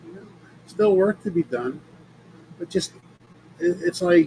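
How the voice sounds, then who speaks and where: Noticeable background noise runs under the speech. A man talks at a moderate pace. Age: 60s. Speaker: mindset coach and energy healer. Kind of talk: podcast monologue. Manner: casual, with fillers.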